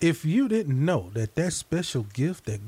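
A man with an American accent talks with a dark, mellow tone. His voice is somewhat breathy and swings very widely in pitch. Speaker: gospel radio host. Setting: radio studio broadcast. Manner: animated, warm; rapid-fire, jovial.

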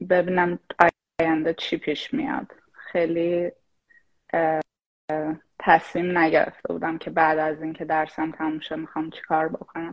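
A woman with a normal speaking voice talks at a fairly slow pace with fairly even intonation. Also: fairly low pitch for a woman. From Iran, Shahrud (Semnan province). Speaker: AI product manager. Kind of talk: casual chat. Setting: live stream.

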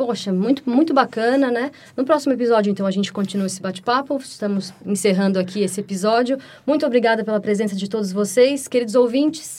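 Racing at a very fast pace, a woman speaks with fairly high pitch and ordinary pitch variation. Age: 30s. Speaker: podcast host and music student. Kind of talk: casual chat.

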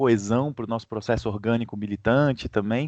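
The man has a plain, everyday voice, keeps a moderate speed and lets his pitch shift in an ordinary way. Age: 30s. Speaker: ecosocialist activist. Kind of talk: interview.

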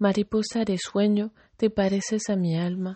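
Intonation holds fairly even. There is a somewhat breathy quality to the voice. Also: woman. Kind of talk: poem reading aloud. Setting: addressing a person named Kari, greeting her good evening. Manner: soft, tender, intimate; slow, measured, with pauses.

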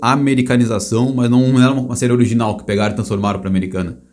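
A man with a dark, mellow tone. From Brazil. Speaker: podcast host. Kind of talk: casual chat.

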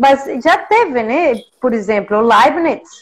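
A woman speaks with a Mexican accent. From Mexico. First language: Spanish (speaking Portuguese). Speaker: professor. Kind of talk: interview. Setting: video call.

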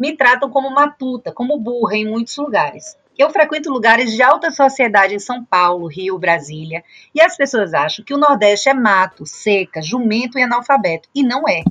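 At a moderate pace, a woman speaks in a high pitch with very wide swings. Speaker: journalist. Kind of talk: casual chat.

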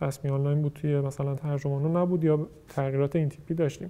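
Speaking at a very fast pace, a man has a dark, mellow tone. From Mashhad, Iran. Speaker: startup founder. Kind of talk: casual interview.

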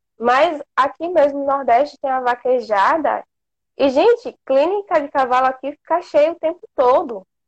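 Fairly slow speech from a woman, high in pitch, its pitch varying in an ordinary way. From Brazil, inland Bahia. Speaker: veterinary student. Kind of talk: casual interview. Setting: Instagram live video call.

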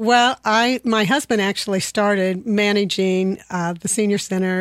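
A woman speaks at a medium pitch on a very clean recording with a silent background. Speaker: senior center staff. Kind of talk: radio interview. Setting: studio.

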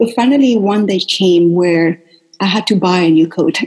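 Speaking with a Spanish accent, this somewhat breathy voice keeps a moderate pace and lively intonation. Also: woman. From Venezuela. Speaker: wellness coach. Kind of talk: interview. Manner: animated.

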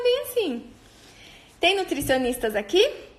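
Very wide pitch swings mark this woman's speech, heard through noticeable background noise. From Brazil, interior of São Paulo state near Paraná border. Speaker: nutritionist. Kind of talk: personal storytelling monologue. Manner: informal with frequent fillers.

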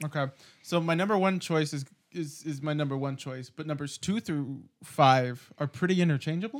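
A plain, everyday voice: a man with a fairly high pitch speaks at a moderate pace with ordinary pitch variation. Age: 20s. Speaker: podcast co-host, film school graduate. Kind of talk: casual chat.

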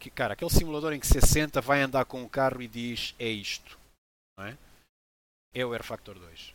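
A man with a European Portuguese accent speaks at a medium pitch and a moderate pace, with long, frequent pauses and big swings in loudness. The recording is very clean, with a silent background. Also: ordinary pitch variation. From Angola, moved to Portugal at 7. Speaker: sim racing team founder, ex motoring journalist. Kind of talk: interview.

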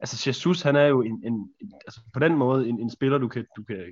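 A man is speaking. His pitch is medium. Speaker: football podcast co-host. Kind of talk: casual chat. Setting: virtual studio. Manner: halting.

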